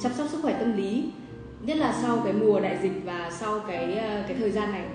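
Over clear background music and audible room echo, a woman talks at a fairly quick pace. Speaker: livestream host. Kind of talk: livestream host chat. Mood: cheerful, friendly. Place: cafe.

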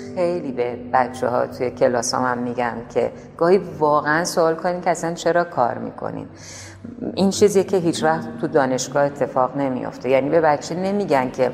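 Against noticeable background noise, a woman with a Tehran accent speaks at a very deep, low pitch and a moderate pace, using ordinary pitch variation. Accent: Tehrani Persian. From Tehran, Iran. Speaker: painter. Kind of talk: interview answer.

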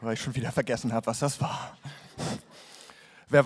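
Music plays in the background as a man speaks at a medium pitch. His pace is fairly quick and his intonation fairly even. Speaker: poetry slam performer. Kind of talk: comic poetry slam performance. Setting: live stage, audience. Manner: deadpan.

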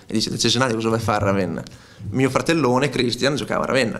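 As a man speaks, his pitch shifts up and down in an ordinary way. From Romagna, Italy (Cesenatico); Romagna, Italy. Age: 30s. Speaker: footballer. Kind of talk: press conference interview; press conference answer. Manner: hesitant, repeats words. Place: meeting room. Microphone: podium.

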